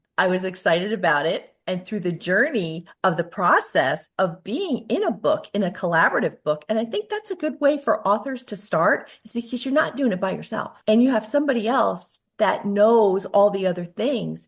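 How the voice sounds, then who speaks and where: Intonation here is lively, at a moderate pace. The voice is somewhat breathy. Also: woman, medium pitch for a woman. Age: 70s. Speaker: author and entrepreneur. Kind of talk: interview.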